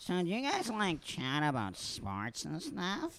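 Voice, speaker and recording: A man's put-on character voice, pitched high and delivered at a fairly slow pace. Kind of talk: comic overacting. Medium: comedy sketch. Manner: crude, annoying bro voice.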